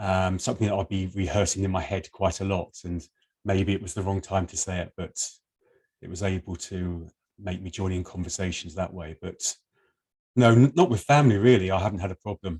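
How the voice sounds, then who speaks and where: Over a silent background on a very clean recording, a man with an English accent talks at a fairly quick pace in a very deep, low, somewhat breathy voice, his loudness swinging widely in a dry, close sound with no echo. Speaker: person who stammers. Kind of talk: interview.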